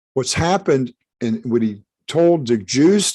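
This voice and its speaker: A man's dark, mellow voice at medium pitch, with lively intonation over a quiet background. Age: 70s. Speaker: rabbi teacher. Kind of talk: live-streamed religious teaching. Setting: live stream. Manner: halting, repeats words.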